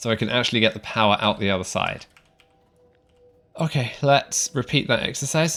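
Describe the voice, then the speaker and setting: With music in the background, a man with an English accent talks at a fairly quick pace and a medium pitch, leaving long, frequent pauses. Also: ordinary pitch variation. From England. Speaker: video game streamer. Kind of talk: live gameplay commentary. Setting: live stream. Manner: casual, conversational.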